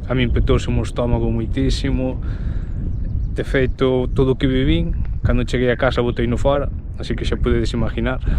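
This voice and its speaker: A man at a moderate pace, dry sound with no echo, and noticeable background noise. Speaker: trail runner vlogger. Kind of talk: casual vlog chat. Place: open country. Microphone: phone near.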